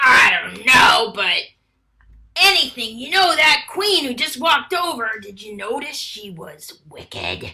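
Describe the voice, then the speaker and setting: A female-sounding voice puts on a character voice, high in pitch and at a fairly slow pace. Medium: stage play. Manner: gossipy, playful.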